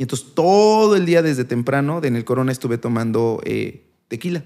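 In a very clean recording with a silent background, a man with an unremarkable speaking voice and medium pitch talks at a moderate pace. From Mexico, Puebla. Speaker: doctor and youtuber. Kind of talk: casual chat.

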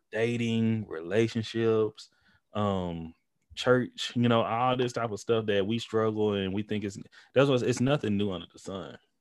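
In a very clean recording with a silent background, a man talks in a normal speaking voice at a fairly slow pace, his medium pitch and fairly even intonation paired with big swings in loudness. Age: 30s. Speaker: podcast host appearing as guest. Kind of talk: casual chat.

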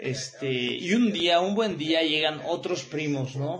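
A man in a Mexican accent at a very slow pace, with noticeable background noise and audible room echo. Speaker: radio show host. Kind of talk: casual monologue. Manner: animated.

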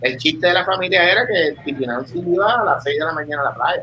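In a bright, sharp tone, a man talks at a fairly quick pace. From Puerto Rico, Vega Baja (north coast). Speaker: surfer and podcaster. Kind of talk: casual chat. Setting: live stream, remote connection.

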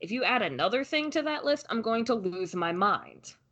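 Fairly high in pitch, a woman's voice swings very widely. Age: 20s. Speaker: podcast co-host. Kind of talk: casual chat.

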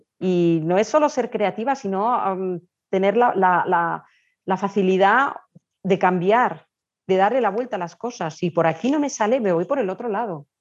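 Over a quiet background, a normal speaking voice moves at a fairly slow pace with lively intonation. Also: woman. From Spain. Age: 50s. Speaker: travel blogger and tour organizer. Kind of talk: interview.

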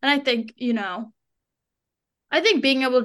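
This woman has a fairly high pitch and a bright, sharp tone. The background is quiet. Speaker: co-host guest, sister. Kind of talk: casual chat. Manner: loud, animated.

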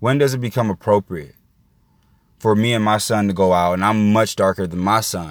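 A man with an American accent, fairly low in pitch, at a moderate pace with ordinary pitch variation, on a very clean recording with a silent background. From Indiana, US Midwest. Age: 20s. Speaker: podcast host. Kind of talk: solo monologue commentary. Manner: calm, measured.

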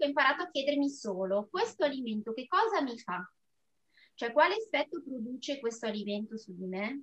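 Talking at a moderate pace, a woman uses a high pitch with very wide pitch swings and big swings in loudness. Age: 40s. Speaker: amateur runner and food therapist. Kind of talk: casual interview.

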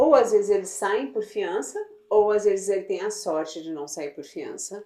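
A woman's unremarkable speaking voice at a medium pitch, with lively intonation. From Brazil, Goiás (Goiânia). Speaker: immigration legal services business owner. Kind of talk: casual interview.

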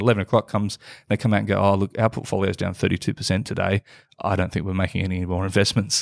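In an Australian accent, a man rattles along at a very fast pace with a fairly low pitch. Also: dry, close sound with no echo, very clean recording, silent background. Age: 40s. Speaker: entrepreneur and investor. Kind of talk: casual interview.

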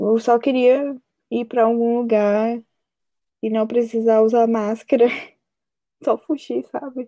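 With long, frequent pauses, the voice moves at a fairly slow pace in a flat monotone, recorded dry and close with no echo. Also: woman, fairly high pitch for a woman. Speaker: podcast guest. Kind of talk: casual chat.

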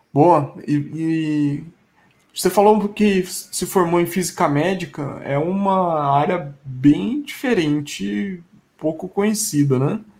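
A man with a high-pitched voice speaks at a very slow pace, his intonation lively and his loudness swinging widely. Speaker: tech podcast host. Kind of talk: casual interview chat.

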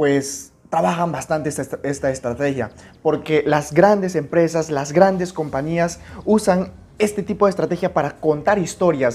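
With an animated tone and ordinary pitch variation, the voice moves at a fairly slow pace. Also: man. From Peru, Amazon region (Puerto Maldonado). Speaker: podcast host, network marketing coach. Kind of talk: motivational tutorial.

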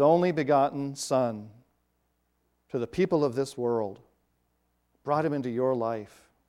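This man speaks with a fairly high pitch and ordinary pitch variation. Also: very clean recording, silent background. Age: 50s. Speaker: pastor. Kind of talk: sermon.

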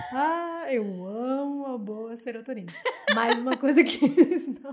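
A woman speaking in an animated tone. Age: 20s. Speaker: podcast co-host. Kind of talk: casual chat. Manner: animated, frequent laughter.

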